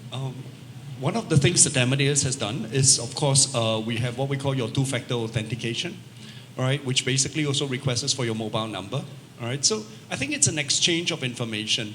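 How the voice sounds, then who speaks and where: A man with a Singaporean accent talks very fast at a medium pitch with ordinary pitch variation, over noticeable background noise. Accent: Singaporean English accent, unashamed. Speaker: travel technology company representative. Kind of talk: panel discussion.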